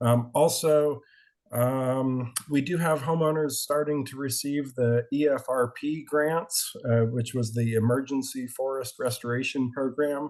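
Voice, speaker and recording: A man speaks in an unremarkable speaking voice at medium pitch, fairly slow and with fairly even intonation, against a quiet background. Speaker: community fire safety volunteer leader. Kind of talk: meeting update.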